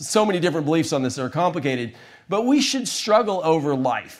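Using an ordinary speaking voice, a man with an American accent talks fairly quickly with lively intonation. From small-town US red state. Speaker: conservative satirist and show host. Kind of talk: casual chat.

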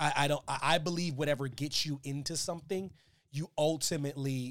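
A man with a fairly high pitch is heard in a very clean recording against a silent background. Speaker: podcast host, wrestling commentator. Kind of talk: casual chat about wrestling news. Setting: live to tape, pre-tape, chat. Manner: animated, joking, fast talker.

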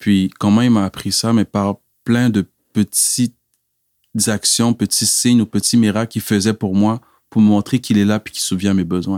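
The sound is dry and close with no echo, on a very clean recording with a silent background. Delivery is monotone and flat at a moderate pace, broken by long, frequent pauses. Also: man, fairly low pitch for a man. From Quebec, via Cameroon. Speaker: church member giving testimony. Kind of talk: testimony.

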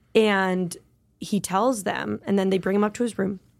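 On a very clean recording with a silent background, a woman speaks in a medium pitch with an energetic, enthusiastic tone. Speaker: podcast host; improviser, comedian.

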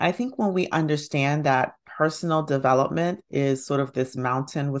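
Over a quiet background, a woman with an American accent talks at a fairly slow pace in a very deep, low voice with fairly even intonation. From US South, Alabama. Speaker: physician and hypnotherapist. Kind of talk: interview.

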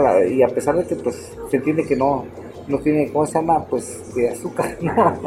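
A man's fairly high-pitched voice against noticeable background noise. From Putla Villa de Guerrero, Oaxaca, Mexico. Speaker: cook and restaurant owner. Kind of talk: interview, casual chat. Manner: halting, repetitive.

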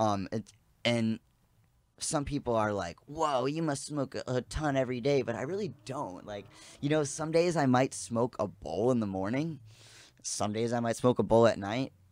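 On a very clean recording with a silent background and a dry, close sound with no echo, a man with an American accent speaks in a plain, everyday voice at a medium pitch and moderate pace, with ordinary pitch variation. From US Midwest, south side of Chicago. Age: 30s. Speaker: cannabis expert. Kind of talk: casual chat.

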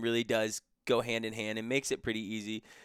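In a dry, close sound with no echo, a man with a normal speaking voice talks at a fairly quick pace and a medium pitch. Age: 30s. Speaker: teacher and financial coach. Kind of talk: casual interview chat.

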